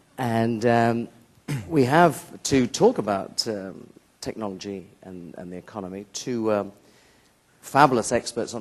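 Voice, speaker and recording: Speaking at a fairly slow pace, this man has a British accent and a medium pitch. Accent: British accent, self-described as outrageous. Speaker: moderator. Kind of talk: conference panel moderation.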